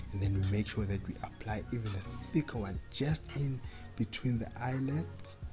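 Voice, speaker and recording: The pace is fairly slow. Music plays in the background. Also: man. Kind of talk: humorous voiceover narration of a makeup video. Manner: casual, hesitant, joking.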